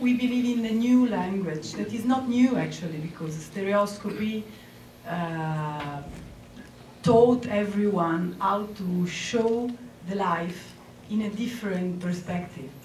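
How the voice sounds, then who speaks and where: A woman speaks very slowly with an Italian accent, at medium pitch and with ordinary pitch variation. Room echo is audible, along with noticeable background noise. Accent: Italian accent, non-native English. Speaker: photographer and 3D filmmaker. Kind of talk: award acceptance speech. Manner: hesitant, many fillers.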